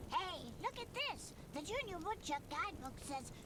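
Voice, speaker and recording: An extremely high, put-on character voice speaks at a moderate pace. Loud background noise runs underneath. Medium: video game. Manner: bratty, lively.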